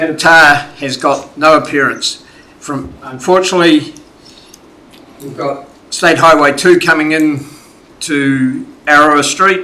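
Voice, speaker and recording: A man speaks with a New Zealand accent. His pitch is fairly high. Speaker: community submitter at council hearing. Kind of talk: public submission. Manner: loud.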